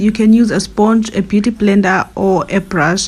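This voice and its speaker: A woman speaks slowly, a bit below average speed, in a fairly high voice. Her intonation stays monotone and flat. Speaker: beauty YouTuber. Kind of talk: makeup tutorial.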